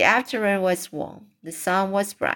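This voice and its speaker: A woman speaks with a non-native accent at a medium pitch. The recording is very clean, with a silent background. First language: not English. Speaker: amateur audiobook reader. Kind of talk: reading aloud. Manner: halting.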